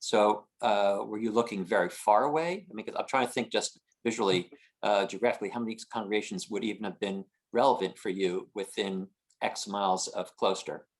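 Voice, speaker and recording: A man with an American accent and an unremarkable speaking voice talks at a fairly quick pace and a fairly low pitch, with ordinary pitch variation. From northern New Jersey (Haworth). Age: 60s. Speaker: audience member asking questions. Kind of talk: panel Q&A question.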